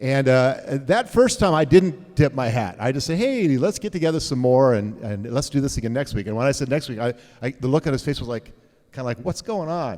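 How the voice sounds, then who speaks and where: Lively intonation and an animated tone mark a man's medium-pitched voice at a fairly quick pace. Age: 60s. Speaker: pastor. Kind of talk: casual chat.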